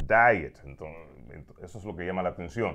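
Over a quiet background, a man talks with vocal fry. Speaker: radio host. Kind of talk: casual interview chat. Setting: studio. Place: studio. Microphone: lapel.

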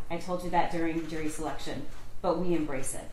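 There is audible room echo and light background noise. A woman talks with fairly even intonation at a fairly low pitch. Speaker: prosecutor. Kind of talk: courtroom closing argument to a jury. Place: hall.

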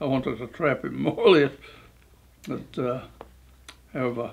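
With vocal fry, a man talks at a moderate pace and ordinary pitch variation. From New Zealand. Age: 80s+. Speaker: phone scam victim telling his story to a news outlet. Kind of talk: interview answer, casual conversational. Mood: amused, dismissive. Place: home room.

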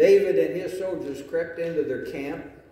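Room echo can be heard. The words unfold at a fairly slow pace. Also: man. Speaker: pastor. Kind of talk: sermon. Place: church. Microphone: camera far.

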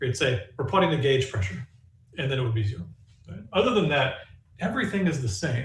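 A man speaks in a somewhat breathy voice with very wide pitch swings. Audible room echo and light background noise surround him. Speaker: physics professor; physics lecturer. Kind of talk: lecture. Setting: recorded lecture with demonstrations. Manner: casual, humorous. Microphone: camera far.

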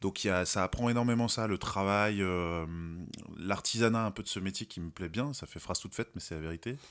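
A man speaks in a normal speaking voice, fairly low in pitch with ordinary variation, at a fairly quick pace. The recording is very clean, with a silent background. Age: 30s. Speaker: actor and director. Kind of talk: interview.

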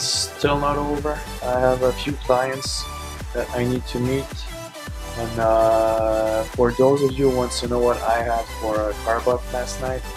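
Man talking at a fairly slow pace over clear music in the background. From French Canada. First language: French. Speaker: bodybuilder. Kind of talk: casual vlog talk to camera. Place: shop. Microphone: phone near.

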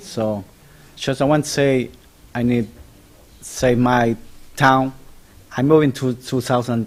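A man with a non-native accent speaks at a medium pitch with fairly even intonation. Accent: non-native English speaker. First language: not English. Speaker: local homeowner giving public comment. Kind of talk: public comment. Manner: halting, broken English.

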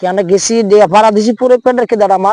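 Fast speech comes through in a dry, close sound with no echo. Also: man, slightly mellow tone.

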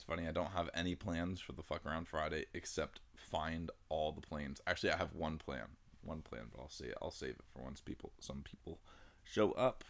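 A man with a very deep, low pitch and vocal fry talks at a moderate pace, with ordinary pitch variation and big swings in loudness. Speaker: livestreamer. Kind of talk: casual stream chat. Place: home room.

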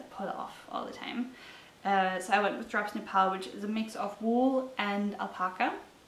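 At a fairly quick pace, a woman with a German accent speaks with ordinary pitch variation and big swings in loudness, and audible room echo surrounds her. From Germany. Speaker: knitting podcaster. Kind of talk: casual solo vlog talk. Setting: talking to a camera at home. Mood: calm, friendly. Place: home room.

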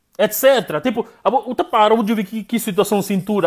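Animated and fairly quick, a man with a high pitch speaks with ordinary pitch variation over a quiet background. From Guinea-Bissau. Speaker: political commentator, live streamer. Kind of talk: live stream political commentary. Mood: animated, critical. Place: kitchen. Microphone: earbuds.

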